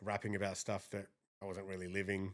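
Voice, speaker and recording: Recorded very cleanly against a silent background, a man with an Australian accent speaks at a fairly low pitch. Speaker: rapper. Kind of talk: podcast interview. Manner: casual.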